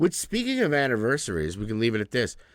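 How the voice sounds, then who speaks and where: Behind the man speaking, the background is silent. The recording is very clean. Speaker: podcast co-host and musician. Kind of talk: casual chat. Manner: casual, hesitant with fillers.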